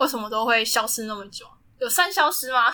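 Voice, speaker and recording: This woman has a bright, sharp tone and a fairly high pitch. She keeps a moderate pace. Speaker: student podcast club host. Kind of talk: casual chat. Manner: animated.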